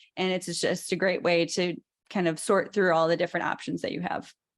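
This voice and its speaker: A woman speaks in a medium pitch with a Chicago accent. The background is quiet. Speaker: presenter explaining dietetics program applications. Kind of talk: informal explanatory presentation.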